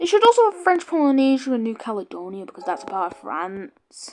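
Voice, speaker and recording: A woman talks at a fairly quick pace in a high pitch, her voice making very wide pitch swings. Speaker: gaming YouTuber. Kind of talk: gameplay commentary. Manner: casual, rambling.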